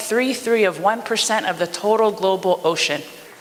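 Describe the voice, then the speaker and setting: Someone talks at a fairly quick pace in a Hawaiian accent over noticeable background noise. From Hawaii, O'ahu (Nanakuli). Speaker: community member giving public testimony. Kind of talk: public testimony. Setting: public meeting.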